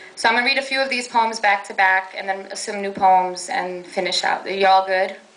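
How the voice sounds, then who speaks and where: Someone with a Brooklyn accent speaks at a moderate pace. The intonation stays fairly even, and audible room echo is present. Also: woman. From New York, Brooklyn. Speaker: poet. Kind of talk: poetry reading. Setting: stage with audience.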